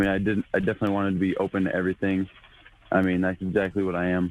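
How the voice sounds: Speaking very fast in an American accent, a man with a low pitch keeps a monotone, flat delivery.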